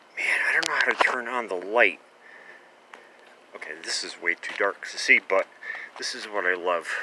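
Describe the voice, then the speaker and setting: Long, frequent pauses break up a man's speech. The sound is dry and close with no echo, with noticeable background noise. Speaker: vlogger, former pharmacist collecting cans. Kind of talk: casual vlog narration. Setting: outdoors at night, on a bike. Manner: hesitant, many fillers; whispering.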